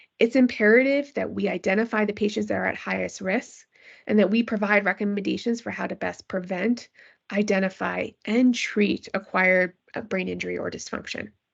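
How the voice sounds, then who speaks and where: Vocal fry runs through fairly evenly intoned speech at a fairly quick pace, with a quiet background. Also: woman, medium pitch for a woman. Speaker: physician researcher in pediatric critical care. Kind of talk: lecture. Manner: fast.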